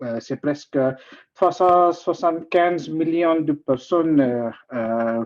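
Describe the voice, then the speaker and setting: Very slow speech in an Indian accent. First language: not French; usually speaks English (speaking French). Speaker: guest speaker at a talk. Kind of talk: informal presentation. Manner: halting, many hesitations.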